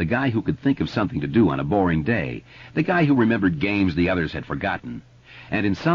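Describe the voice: The clip consists of plain reading aloud.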